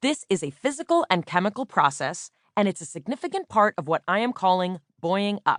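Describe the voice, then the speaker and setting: A woman's medium-pitched voice with very wide pitch swings at a fairly quick pace, dry and close with no echo, against a quiet background. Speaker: audiobook narrator and author. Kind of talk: audiobook narration, friendly educational. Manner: friendly, conversational, matter-of-fact.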